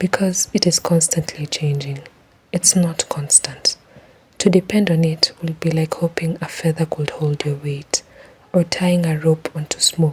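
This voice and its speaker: Someone whispers at a fairly slow pace. Noticeable background noise can be heard. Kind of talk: reflective personal voice-over. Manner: whispered.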